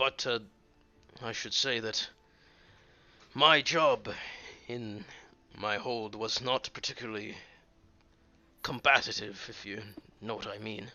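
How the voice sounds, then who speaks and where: A raspy, put-on character voice from a man, fairly slow, with long, frequent pauses. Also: medium pitch for a man. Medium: actual play. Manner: hesitant, earnest.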